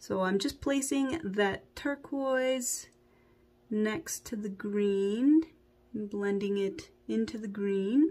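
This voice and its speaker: A woman with a fairly high pitch, a dark, mellow tone and a somewhat breathy quality speaks very slowly with lively intonation. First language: not English. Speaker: beauty vlogger. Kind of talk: makeup tutorial. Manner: casual, conversational.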